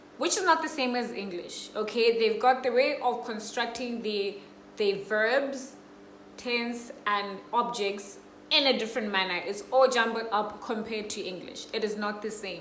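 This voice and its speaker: The voice has a Botswana accent and a fairly slow pace. Noticeable background noise and audible room echo fill the recording. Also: woman. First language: Setswana. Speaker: vlogger. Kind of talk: casual vlog talk.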